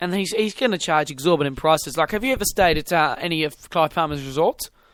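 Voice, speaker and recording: Someone talks at a very fast pace with a New Zealand accent. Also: man, fairly high pitch for a man, ordinary pitch variation. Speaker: podcast host. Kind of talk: casual chat.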